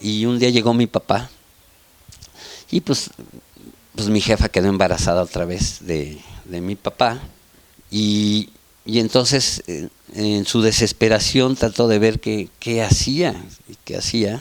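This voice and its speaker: Very slowly, with long, frequent pauses, a man speaks with ordinary pitch variation. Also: fairly low pitch for a man, big swings in loudness. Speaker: family member interviewee. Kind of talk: documentary interview.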